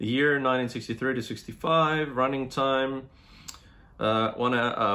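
This man speaks with an Australian accent at a medium pitch. His intonation stays fairly even. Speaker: YouTube vlogger. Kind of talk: unboxing video, reading the back-cover blurb in a mock 1960s sci-fi announcer tone. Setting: home, solo to camera. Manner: casual, rambling, with fillers; deliberate, ominous, mock-dramatic announcer delivery when reading the blurb. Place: home room. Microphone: phone near.

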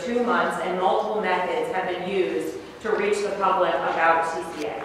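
Strong room echo and light background noise surround the recording. A woman talks at a moderate pace with ordinary pitch variation. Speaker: presenter. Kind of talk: meeting explanation. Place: meeting room.

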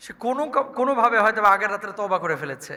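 A man's raised, projected voice with an animated tone. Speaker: Islamic preacher. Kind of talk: sermon.

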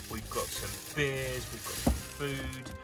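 Loud music plays in the background as a man speaks at a fairly slow pace. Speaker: sailing cook vlogger. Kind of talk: casual vlog tour. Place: boat. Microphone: phone near.

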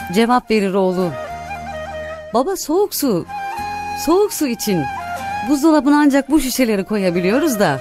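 Against clear background music, a woman with a high pitch and very wide pitch swings speaks at a moderate pace with long, frequent pauses, in a dry sound with no echo. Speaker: radio presenter. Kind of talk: read story. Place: studio. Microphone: studio mic.

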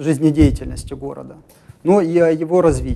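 This man's voice sits at a fairly high pitch. His tone is dark and mellow. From Ukraine. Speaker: regional party leader and human rights activist; talk show guest. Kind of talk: live TV studio interview. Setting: TV studio. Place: studio. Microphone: lapel.

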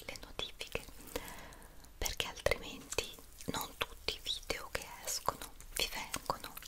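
Whispering, a woman moves through her words at a fairly slow pace. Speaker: ASMR creator. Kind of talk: soft-spoken ASMR chat to viewers. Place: home room.

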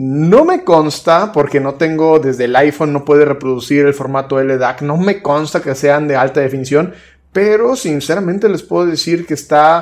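The pace stays moderate. A man talks with ordinary pitch variation. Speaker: tech reviewer. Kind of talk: product review talk. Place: home room.

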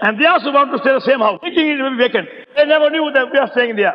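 A man speaks with an extremely high pitch and ordinary pitch variation. Noticeable background noise is present. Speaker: preacher. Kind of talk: sermon. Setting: poor-quality old recording. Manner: speaks with a stammer.

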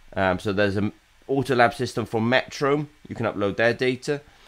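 The man talks at a fairly quick pace. Lively intonation marks his delivery. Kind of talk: business vlog commentary. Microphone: webcam.

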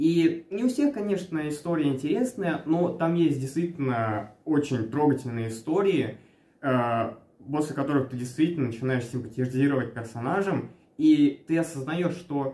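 Moderate-paced male speech amid audible room echo. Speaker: anime reviewer. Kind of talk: casual review vlog chat. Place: home room. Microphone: camera far.

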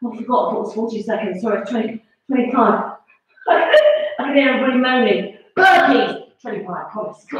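Strong room echo surrounds a woman speaking fairly high and at a fairly slow pace against a quiet background. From England. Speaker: fitness instructor. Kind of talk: live-streamed exercise class. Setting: home, live video. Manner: animated, encouraging; brisk, coaching cues. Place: home room. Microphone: camera far.

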